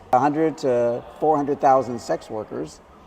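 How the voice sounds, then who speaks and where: A man with an American accent, medium pitch and ordinary pitch variation, amid noticeable background noise. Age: 70s. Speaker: expat guest. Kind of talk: casual interview.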